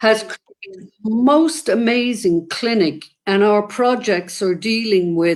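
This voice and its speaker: With an Irish accent, a woman speaks at a very slow pace in a fairly high pitch. She uses hardly any pauses. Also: lively intonation. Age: 70s. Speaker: activist. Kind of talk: interview conversation.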